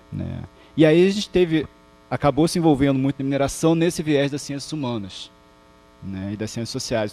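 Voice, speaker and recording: A man speaks with a Rio de Janeiro accent and ordinary pitch variation. Music plays in the background. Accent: carioca accent, noticeable. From Rio de Janeiro, Brazil (Botafogo, Zona Sul). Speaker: professor. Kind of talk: lecture. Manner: halting, many false starts.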